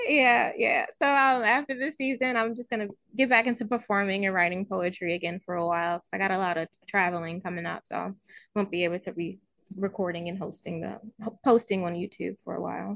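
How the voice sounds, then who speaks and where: Over a quiet background, a woman with a plain, everyday voice speaks fairly quickly at a medium pitch, with ordinary pitch variation, big swings in loudness, and a dry, close sound with no echo. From Baltimore, Maryland. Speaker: author and YouTuber. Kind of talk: casual interview chat.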